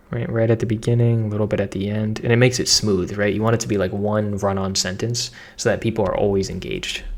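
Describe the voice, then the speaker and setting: The delivery is energetic and very fast, with hardly any pauses. Noticeable background noise sits behind it. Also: man, fairly low pitch for a man. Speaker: online marketing content creator. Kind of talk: tutorial. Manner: casual, energetic.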